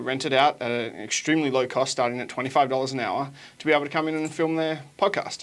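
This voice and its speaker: A man's fairly high voice with an Australian accent, very fast and with fairly even intonation. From Australia, Sunshine Coast. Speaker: small business consultant. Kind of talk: interview.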